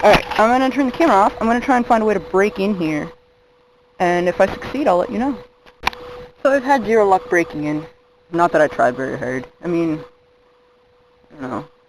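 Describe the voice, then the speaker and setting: A fairly quick pace with long, frequent pauses amid noticeable background noise. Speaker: video blogger. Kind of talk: casual vlog narration. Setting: outdoors.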